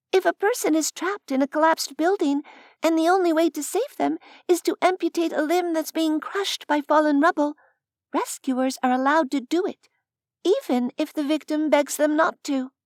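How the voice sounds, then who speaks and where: This is a squeaky, put-on character voice. Its tone is gentle. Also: woman, extremely high pitch for a woman, moderate pace. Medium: read story. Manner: gentle, reasoned.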